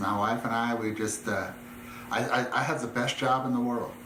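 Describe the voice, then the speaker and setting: Audible room echo and noticeable background noise surround a man speaking at a medium pitch in an American accent. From US West, Southern California. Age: 60s. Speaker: ministry leader. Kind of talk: testimony. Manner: emotional, halting.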